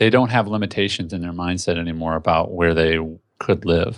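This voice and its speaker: A man with a Midwestern US accent and a very deep, low pitch talks with fairly even intonation against a quiet background. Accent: US Midwest. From Indianapolis, Indiana. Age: 30s. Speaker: entrepreneur. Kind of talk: casual interview. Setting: home office.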